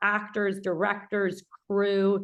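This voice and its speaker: A woman with a medium pitch speaks in a New Jersey accent. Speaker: film producer and instructor. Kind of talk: lecture. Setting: video call. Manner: loud; fast.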